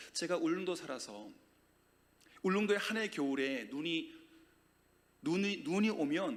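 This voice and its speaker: A man's high-pitched voice at a fairly slow pace, with very wide pitch swings and audible room echo. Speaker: guest preacher. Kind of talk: sermon. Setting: church. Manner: loud; animated.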